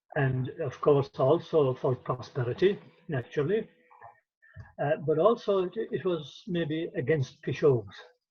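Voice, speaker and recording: An Irish-accented man talks at a fairly slow pace. His pitch is fairly high, and his intonation is lively. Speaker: traditional storyteller and folklorist. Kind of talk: interview answer.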